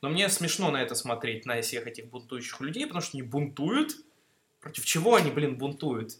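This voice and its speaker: An ordinary speaking voice moves at a fairly quick pace with lively intonation. Its loudness swings widely. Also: man, fairly high pitch for a man. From Mineralnye Vody, North Caucasus, Russia (born in Greece, moved at 6). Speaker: student. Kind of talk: casual chat.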